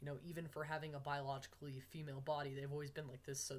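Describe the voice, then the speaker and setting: Somewhat breathy, a man rattles along at a very fast pace with fairly high pitch and monotone, flat intonation. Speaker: vlogger documenting gender transition.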